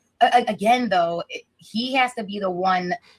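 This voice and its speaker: The voice of a woman is somewhat breathy. Her pitch variation is ordinary. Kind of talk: casual chat.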